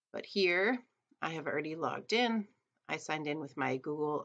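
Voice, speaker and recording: Against a quiet background, a woman with a very deep, low pitch and vocal fry speaks at a moderate pace. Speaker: teacher. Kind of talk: tutorial. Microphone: webcam.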